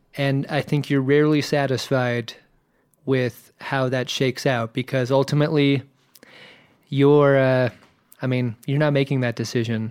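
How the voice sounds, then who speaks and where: In an American accent, a man speaks at medium pitch and a moderate pace with monotone, flat intonation, very even loudness and long, frequent pauses, on a very clean recording with a silent background. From Virginia Beach, US. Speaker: podcast host, guest. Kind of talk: casual chat.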